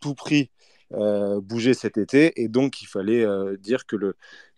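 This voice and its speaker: A man speaks at a fairly slow pace and medium pitch, his tone dark and mellow with ordinary pitch variation. The sound is dry and close with no echo against a quiet background. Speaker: football journalist. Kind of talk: interview. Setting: online audio space. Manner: hesitant, many fillers.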